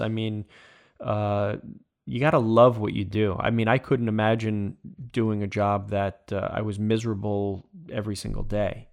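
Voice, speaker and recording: With an American accent, a man talks at a fairly slow pace in a normal speaking voice of medium pitch, captured on a very clean recording with a silent background. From Long Island, New York. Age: 40s. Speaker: former professional baseball player. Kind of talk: interview.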